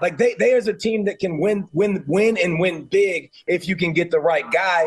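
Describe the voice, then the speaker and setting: The speaker is a man with a Southern US accent. His pitch is high. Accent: Southern US (Georgia). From US South, Georgia. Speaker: college football analyst, former player. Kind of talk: sports talk radio interview. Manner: animated.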